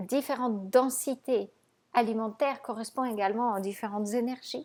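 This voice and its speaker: In a very clean recording with a silent background, a woman speaks at a moderate pace in a fairly high pitch. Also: ordinary pitch variation. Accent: non-native. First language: not French (speaking French). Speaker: raw vegan nutrition coach. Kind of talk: video monologue to viewers.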